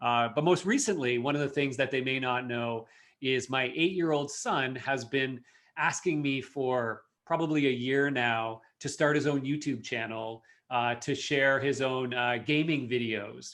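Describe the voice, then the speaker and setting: A man with a Canadian accent speaks in a plain, everyday voice at medium pitch, fairly slow and with fairly even intonation, against a quiet background. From Canada, Toronto area. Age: 40s. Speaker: marketing executive. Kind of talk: podcast interview.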